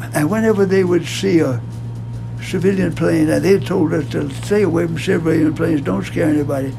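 A man speaks fairly quickly while noticeable noise carries on behind him. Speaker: World War II navy aviator. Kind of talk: interview answer. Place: office.

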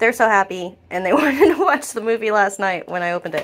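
A woman's fairly quick speech comes through with light noise behind it. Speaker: family vlogger. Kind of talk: casual vlog chat. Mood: grateful, cheerful. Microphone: phone near.

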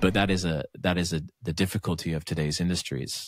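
A man with an American accent talks at a moderate pace in a very deep, low voice. The sound is dry and close with no echo, and the recording is very clean over a silent background. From northern England, Lancashire. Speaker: singer-songwriter and podcast co-host. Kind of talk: casual chat.

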